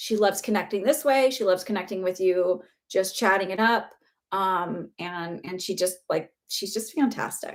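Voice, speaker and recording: At a moderate pace and with ordinary pitch variation, an American accent comes through on a very clean recording with a silent background. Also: woman, medium pitch for a woman. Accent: Wisconsin accent, comes out at times. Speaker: psychic medium. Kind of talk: live-stream psychic readings. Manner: casual, chatty.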